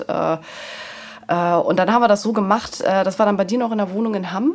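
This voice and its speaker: A woman talks at a very fast pace, her medium pitch paired with fairly even intonation. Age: 40s. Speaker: mother in a patchwork family. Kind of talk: interview.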